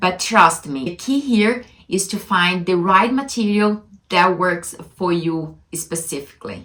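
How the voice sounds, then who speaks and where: A woman with a strong non-native accent speaks at a fairly slow pace in a medium-pitched voice with ordinary pitch variation. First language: not English. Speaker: language-learning vlogger. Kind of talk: casual vlog monologue. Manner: halting.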